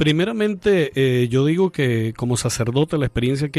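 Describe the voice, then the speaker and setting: A man speaks in a plain, everyday voice with a fairly high pitch. His pitch varies in an ordinary way, and the sound is dry and close with no echo. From Venezuela, Andean region (Mérida). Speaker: priest. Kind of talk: radio interview. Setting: studio.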